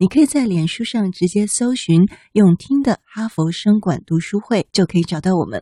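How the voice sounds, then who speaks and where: With hardly any pauses, a woman at medium pitch speaks at a moderate pace in a dark, mellow, somewhat breathy tone and lively intonation, recorded with a dry, close sound with no echo. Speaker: podcast host. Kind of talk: casual chat. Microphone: poor recording environment.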